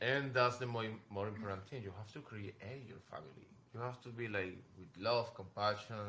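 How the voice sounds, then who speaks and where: A man with a Venezuelan accent speaks at a medium pitch and a moderate pace in a bright, sharp tone, with ordinary pitch variation and big swings in loudness. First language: Spanish. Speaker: fashion model. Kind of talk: casual chat. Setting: in New York. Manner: halting.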